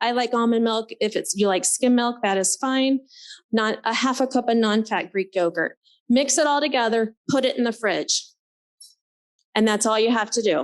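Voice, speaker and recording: Over a quiet background, a woman uses a plain, everyday voice, fairly high in pitch with ordinary pitch variation, speaking at a moderate pace and very even loudness. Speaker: nurse practitioner. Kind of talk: presentation. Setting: conference forum.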